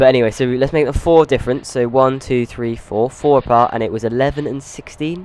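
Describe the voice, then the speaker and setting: Amid noticeable background noise, a man of medium pitch talks at a fairly quick pace with hardly any pauses and fairly even intonation. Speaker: gaming youtuber. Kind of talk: gameplay commentary. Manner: halting, self-interrupting; casual.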